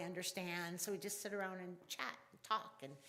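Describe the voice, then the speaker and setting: A woman with a fairly low pitch talks in a monotone, flat intonation, and audible room echo surrounds her voice. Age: 60s. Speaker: pagan elder and worship speaker. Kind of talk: sermon. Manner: halting.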